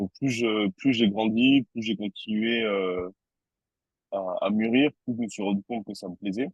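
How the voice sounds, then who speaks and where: A man with a southern French accent speaks at a fairly slow pace in a fairly low voice, his intonation fairly even. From southern France, Toulouse. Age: 30s. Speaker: tattoo artist. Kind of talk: interview. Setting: podcast. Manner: hesitant, many fillers and repetitions.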